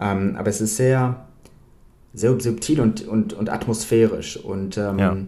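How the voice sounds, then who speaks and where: Noticeable background noise sits behind a man speaking at a very slow pace. His medium pitch carries fairly even intonation. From Bavaria, Germany. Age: young. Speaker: film author. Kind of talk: interview. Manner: halting, many fillers.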